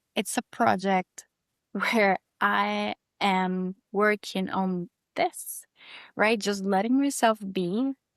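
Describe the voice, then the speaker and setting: A woman with a Costa Rican accent speaks very slowly at a medium pitch, her pitch varying in an ordinary way. The recording is very clean and dry, close-miked with no echo against a silent background. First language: Spanish. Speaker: yoga and breathwork teacher. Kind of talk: casual interview chat.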